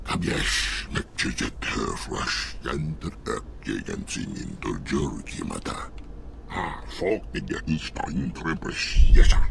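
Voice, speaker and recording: A man's put-on character voice at a fairly slow pace over clear background noise. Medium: video game.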